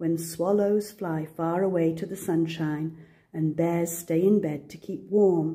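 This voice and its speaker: A woman's voice carries a dark, mellow tone and is somewhat breathy. Her intonation runs fairly even. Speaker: grandmother. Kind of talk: children's picture book read-aloud.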